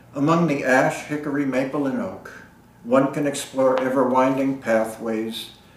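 A man at medium pitch, fairly even intonation and a fairly slow pace, against noticeable background noise. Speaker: poet. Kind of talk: poem reading. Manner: measured, lyrical cadence.

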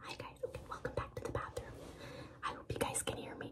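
Soft-spoken and whispering, a woman talks over noticeable background noise. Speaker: vlogger. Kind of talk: casual vlog chat. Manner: soft whisper, late at night. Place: bathroom. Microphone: phone near.

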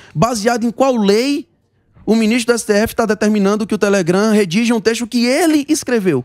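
A man with a high pitch talks at a moderate pace with ordinary pitch variation and very even loudness, in a dry sound with no echo over a quiet background. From Ceará, Brazil. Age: 20s. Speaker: federal deputy, politician; interview guest, politician. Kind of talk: talk show interview. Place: studio. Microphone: handheld.

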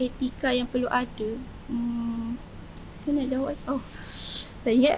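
Over noticeable background noise, a woman speaks very slowly in a high, monotone voice with flat intonation. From Malaysia, Kuala Selangor area (Selangor). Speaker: polytechnic student and student entrepreneur. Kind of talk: casual interview. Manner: halting, many fillers.

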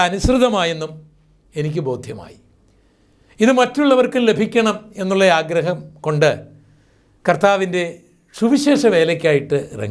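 A high-pitched man talks with lively intonation. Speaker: preacher. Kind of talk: sermon.

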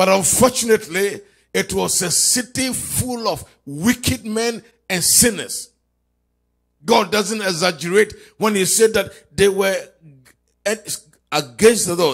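A man with a high pitch talks at a fairly slow pace, leaving long, frequent pauses. His pitch variation is ordinary, and the background is quiet. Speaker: pastor leading online prayer. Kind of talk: fervent intercessory prayer, declaring and commanding. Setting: live stream prayer service. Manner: impassioned, rising and pounding, repeating phrases. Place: church. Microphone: handheld.

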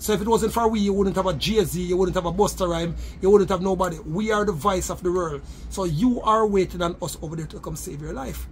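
Over light background noise, a man talks very fast at a high pitch with fairly even intonation and big swings in loudness. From Jamaica. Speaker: entrepreneur and religious leader; host's interview guest. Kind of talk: casual interview. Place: home room. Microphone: phone near.

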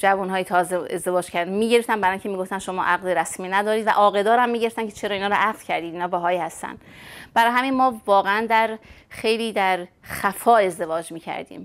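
The speech comes very fast with fairly even intonation. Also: woman. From Iran, Urmia (West Azerbaijan); West Azerbaijan, Iran. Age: 50s. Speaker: Baha'i emigrant interviewee; interviewee. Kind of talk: personal testimony interview. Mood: reflective, sometimes sad memories. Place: home room. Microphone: lapel.

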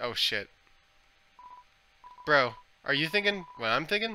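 A man puts on a character voice with a drawl. He keeps a moderate pace. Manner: laid-back surfer-bro drawl.

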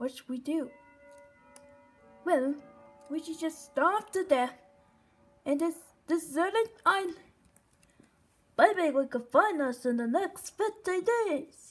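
The voice is high-pitched and very slow. Long, frequent pauses break up the speech. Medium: machinima. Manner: bossy, upbeat.

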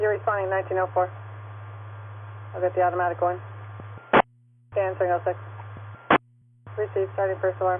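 A man's speech races along at a very fast pace. Loud background noise surrounds it, and the sound is dry with no echo. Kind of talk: radio dispatch calls. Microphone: two way radio.

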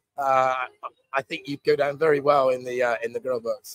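A man with a slight West Country accent talks at a fairly quick pace in a fairly high pitch. His intonation is monotone and flat, and the sound is dry with no echo. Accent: mild West Country English. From West Country, England. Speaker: stand-in live stream host. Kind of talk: casual live stream chat. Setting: live stream from a bar in Pattaya. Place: bar. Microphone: lapel.

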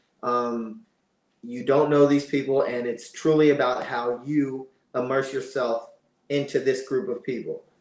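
The speaker has an American accent and talks at a fairly slow pace with fairly even intonation. There is audible room echo. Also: man, medium pitch for a man. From Pennsylvania. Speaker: reality TV contestant; podcast guest. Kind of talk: casual chat. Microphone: video call.

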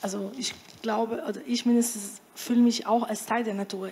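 Intonation stays fairly even at a fairly slow pace. There is light background noise. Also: woman. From Brazil. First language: Portuguese (speaking German). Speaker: panel discussant. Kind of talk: panel discussion. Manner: halting. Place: hall. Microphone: handheld.

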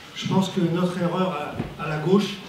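Noticeable background noise and audible room echo surround a man who speaks at a high pitch with a monotone, flat intonation. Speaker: audience member. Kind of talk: public comment at a debate. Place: hall.

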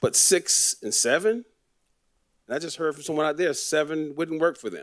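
Against a quiet background, a man with an American accent speaks at a moderate pace and a fairly high pitch, with ordinary pitch variation and big swings in loudness. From Florida, Fort Lauderdale; Florida. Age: 60s. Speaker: city commissioner. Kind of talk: public meeting remarks. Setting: city commission meeting. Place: hall. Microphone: podium.

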